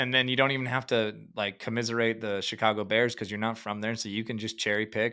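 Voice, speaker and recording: In a very clean recording with a silent background, a man with an American accent talks at a very fast pace in a bright, sharp tone. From US Upper Midwest, Fargo, North Dakota. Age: 30s. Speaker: podcast host. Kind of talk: interview podcast. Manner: animated.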